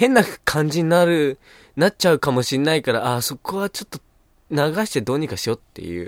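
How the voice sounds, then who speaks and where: A man speaks fairly quickly at a fairly high pitch. The sound is dry and close with no echo, on a very clean recording with a silent background. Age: young. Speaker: comedian. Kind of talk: casual chat.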